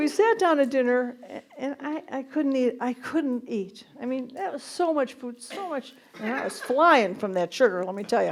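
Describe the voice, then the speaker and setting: Over noticeable background noise, a woman talks at a moderate pace in a high pitch with lively intonation. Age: 60s. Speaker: stand-up comedian. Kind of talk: stand-up comedy set. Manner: warm, witty storytelling.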